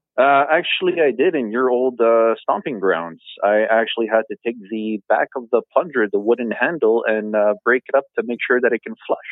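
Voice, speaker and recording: Hardly any pauses break the moderate pace, and pitch shows ordinary variation. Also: man, medium pitch for a man. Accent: French. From Ontario, Canada. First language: French. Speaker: podcast guest. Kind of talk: casual chat. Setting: phone call.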